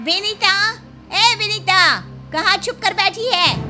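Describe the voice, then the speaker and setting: Clear music plays in the background as a woman shouts in a put-on character voice at an extremely high pitch. She goes at a very slow pace with ordinary pitch variation. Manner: shouting, angry.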